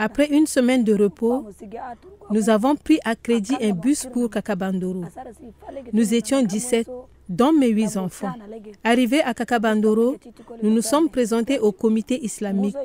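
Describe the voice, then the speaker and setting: A woman with a fairly high pitch talks fairly slowly, pausing often and at length, her pitch moving in an ordinary way. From Central African Republic. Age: 40s. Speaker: displaced refugee returnee, women's group organizer. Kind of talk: testimony.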